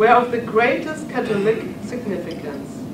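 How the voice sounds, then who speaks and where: A woman with a German accent and a fairly high pitch, over noticeable background noise. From Germany. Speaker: professor of church history. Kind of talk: lecture. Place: hall.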